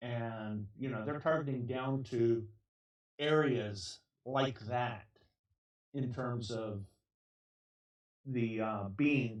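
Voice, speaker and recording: This man talks at medium pitch with ordinary pitch variation. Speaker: cancer patient. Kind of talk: casual talk to camera. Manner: hesitant, filler-heavy.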